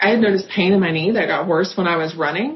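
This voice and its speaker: Speaking with a somewhat breathy voice, a woman is heard with some echo from the room. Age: 30s. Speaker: patient. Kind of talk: testimony.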